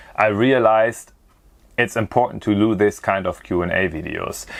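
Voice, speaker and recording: The pace here is moderate. It's a man talking with a German accent. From Germany. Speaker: kitesurfer and video creator. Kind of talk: Q&A monologue to camera. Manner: casual.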